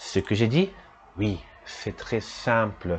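Here a man talks at a very slow pace. His voice is somewhat breathy. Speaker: French teacher podcast host. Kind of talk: bilingual language lesson.

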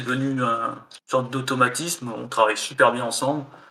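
Here a man talks at a moderate pace and medium pitch. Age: 30s. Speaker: indie game developer. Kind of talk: casual interview.

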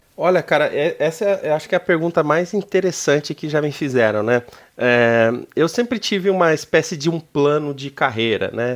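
On a very clean recording with a silent background, a man speaks at a moderate pace and a fairly high pitch in an ordinary speaking voice. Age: 30s. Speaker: business executive. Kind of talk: interview. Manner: casual.

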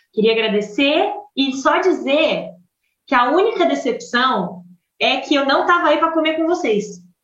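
A woman speaks at a moderate pace in a high pitch with very wide pitch swings. Her loudness stays very even, and room echo is audible. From Brazil. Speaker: medical student abroad. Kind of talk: casual chat.

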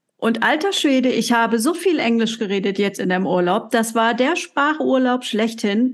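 A woman's ordinary speaking voice, fairly high in pitch, with lively intonation and a moderate pace. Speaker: coaching podcast co-host. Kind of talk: casual chat.

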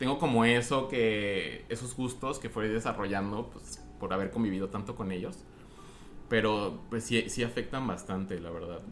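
Fairly low pitch from a man at a moderate pace, with audible room echo and music in the background. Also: ordinary pitch variation. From Mexico, Guadalajara. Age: 20s. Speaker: podcast guest. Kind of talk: casual chat.

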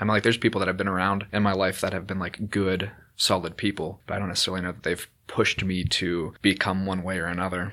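A man with an American accent speaks very fast in a very deep, low pitch, flat and monotone, with a bright, sharp tone in a very clean recording with a silent background. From Ohio. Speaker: high school English teacher. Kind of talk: casual interview.

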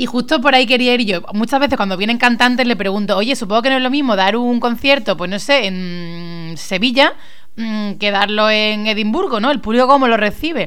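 This woman has a fairly high pitch, ordinary pitch variation and an animated tone at a moderate pace. Audible room echo and noticeable background noise are present. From Spain, Málaga. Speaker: radio host. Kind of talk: casual chat.

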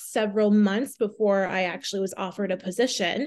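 With an American accent, a woman speaks at a moderate pace in an ordinary speaking voice pitched fairly high. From Southwest Minnesota, small town. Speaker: personal trainer. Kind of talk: casual interview.

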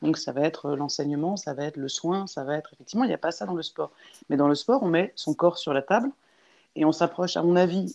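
Against a quiet background, a woman with a very deep, low voice speaks fairly quickly with lively intonation. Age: 30s. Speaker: interviewee, sociologist. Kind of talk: interview. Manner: halting.

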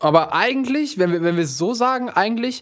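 A man at a moderate pace, animated in tone, with very wide pitch swings. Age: 20s. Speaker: music label manager. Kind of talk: casual chat.

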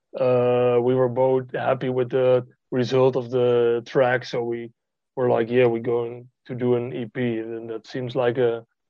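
A man speaks with a Dutch accent. His pitch is medium, and his pace is very slow. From Netherlands. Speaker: music producer. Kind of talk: interview. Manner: hesitant with frequent fillers.

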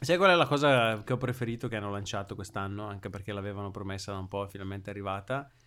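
Recorded very cleanly against a silent background, this bright, sharp voice speaks at a very fast pace. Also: man, fairly low pitch for a man, ordinary pitch variation, hardly any pauses. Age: 30. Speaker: physicist, tech podcast co-host. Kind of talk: casual chat.

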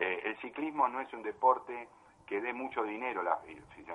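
A man is heard over noticeable background noise. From Buenos Aires, Argentina. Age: 60s. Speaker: amateur cyclist, member of a cycling association. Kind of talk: interview. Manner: halting, with many repetitions.

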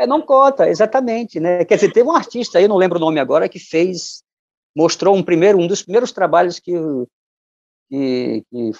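Recorded dry and close with no echo, a man talks at a high pitch with lively intonation. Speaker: musician and poet. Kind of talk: interview.

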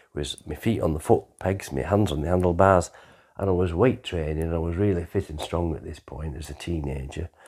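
A man with an English accent, very deep and low in pitch, with vocal fry and ordinary pitch variation, on a very clean recording with a silent background. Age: 60s. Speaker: storyteller recounting his life. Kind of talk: personal life story narration.

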